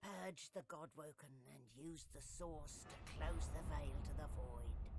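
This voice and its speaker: In a put-on character voice, the speaker moves along at a moderate pace. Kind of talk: epic fantasy narration. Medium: video game. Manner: grave, measured.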